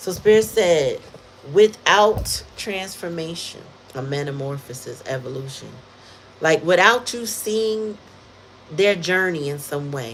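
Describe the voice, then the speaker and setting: Lively intonation carries a fairly slow delivery broken by long, frequent pauses, with noticeable background noise behind it. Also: woman, fairly low pitch for a woman. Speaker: tarot reader. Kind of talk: tarot reading livestream. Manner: animated.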